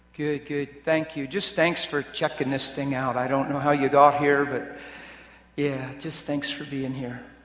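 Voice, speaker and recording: Noticeable background noise and audible room echo surround a man's fairly high voice. He talks at a fairly slow pace with a monotone, flat intonation. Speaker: preacher. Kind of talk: sermon. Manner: varies between loud and soft. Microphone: loud and echoey.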